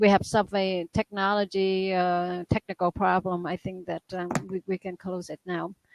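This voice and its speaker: A woman with a non-native accent speaks at a moderate pace with hardly any pauses and monotone, flat intonation. Her loudness swings widely, and the sound is dry and close with no echo. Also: medium pitch for a woman. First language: not English. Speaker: guest. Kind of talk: casual chat. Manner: halting.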